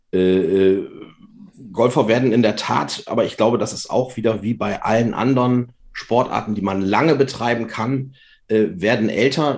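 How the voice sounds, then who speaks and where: Ordinary pitch variation in a man's medium pitch. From Lower Saxony, Germany. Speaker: doctor and amateur golfer. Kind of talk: casual interview. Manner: relaxed.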